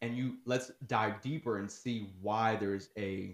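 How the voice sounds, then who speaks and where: A man talks at a fairly slow pace. He has a plain, everyday voice. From Newark, New Jersey. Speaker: educator. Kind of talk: casual chat.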